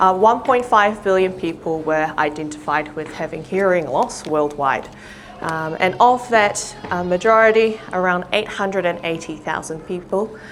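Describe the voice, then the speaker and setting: A woman talks with a New Zealand accent and ordinary pitch variation. Noticeable background noise can be heard. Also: medium pitch for a woman, moderate pace. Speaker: audiologist. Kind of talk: public talk. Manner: frequent fillers (um).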